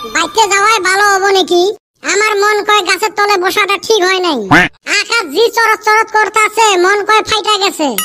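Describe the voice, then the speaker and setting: Faint music plays in the background under a cartoonish character voice. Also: man, extremely high pitch for a man, moderate pace. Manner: grumbling.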